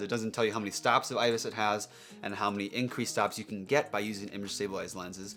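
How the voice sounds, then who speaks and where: A man talks very fast. Music can be heard behind him. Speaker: photographer and filmmaker, camera reviewer. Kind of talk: tech news vlog. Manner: enthusiastic.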